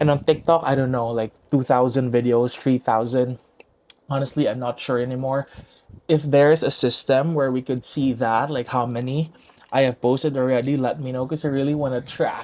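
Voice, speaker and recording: With a Visayan Filipino accent, a man speaks at a moderate pace with a medium pitch and fairly even intonation. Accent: Filipino (Cebuano) English. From Philippines, Cebu City. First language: Cebuano (Bisaya). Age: 20s. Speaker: podcast host. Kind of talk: casual chat. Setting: home recording with own camera and mic.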